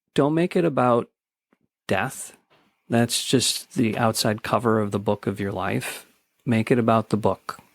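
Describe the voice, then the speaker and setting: A man speaks at a fairly slow pace with long, frequent pauses, his pitch medium and its variation ordinary. The sound is dry and close, with no echo. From US Midwest, Chicago south suburbs. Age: 50s. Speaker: death cafe facilitator. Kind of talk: podcast interview. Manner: halting, with many repeated words.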